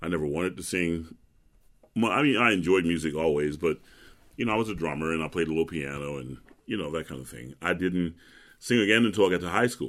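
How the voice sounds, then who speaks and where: A man speaks at a very fast pace with a very deep, low pitch and vocal fry. His intonation is lively, and his loudness swings widely. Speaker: opera singer. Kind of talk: interview.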